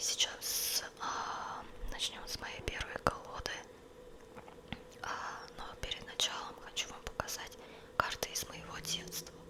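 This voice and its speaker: Very slow whispering from a woman, big swings in loudness, long, frequent pauses and noticeable background noise. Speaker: ASMR creator. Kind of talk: ASMR whisper, showing and describing tarot cards to camera. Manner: whispered, soft.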